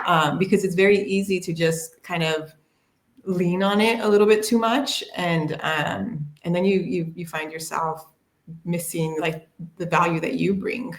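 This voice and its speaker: This is a woman with an unremarkable speaking voice. She talks at a fairly slow pace. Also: fairly low pitch for a woman, ordinary pitch variation. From United States. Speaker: HR tech panelist. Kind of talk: casual panel discussion.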